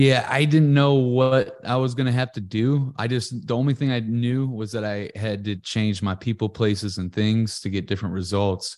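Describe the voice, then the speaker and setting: Against a quiet background, a man with a normal speaking voice and an American accent talks at a moderate pace and medium pitch, with ordinary pitch variation and hardly any pauses. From US Midwest, Ferguson, Missouri. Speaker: podcast entrepreneur. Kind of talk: interview.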